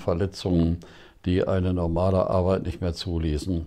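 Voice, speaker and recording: Monotone and flat, a man's very deep, low voice carries a dark, mellow tone. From Germany, Ruhr area (Bochum). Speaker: retired theology professor. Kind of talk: interview. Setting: at his home.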